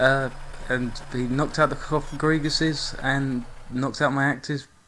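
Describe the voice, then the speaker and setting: A man's fairly high voice, monotone and flat, at a moderate pace over noticeable background noise. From England. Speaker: video game YouTuber. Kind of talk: gameplay commentary. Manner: casual, with frequent fillers.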